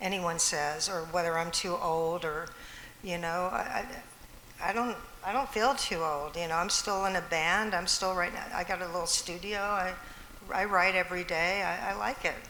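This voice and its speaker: Amid noticeable background noise and audible room echo, a woman speaks at a moderate pace and medium pitch with ordinary pitch variation and long, frequent pauses. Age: 60s. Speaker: musician. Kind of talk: panel discussion. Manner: halting.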